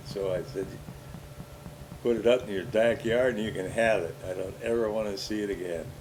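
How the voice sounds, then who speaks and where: Ordinary pitch variation and a moderate pace in an American accent, with audible room echo. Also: man. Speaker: older relative recounting his life. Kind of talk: casual family interview over home movies.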